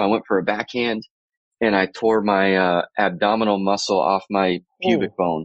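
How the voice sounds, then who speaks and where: A man speaks at a moderate pace in a fairly low pitch with fairly even intonation. He has an unremarkable speaking voice. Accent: American. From Florida, US. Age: 30s. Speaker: baseball coach. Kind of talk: casual interview.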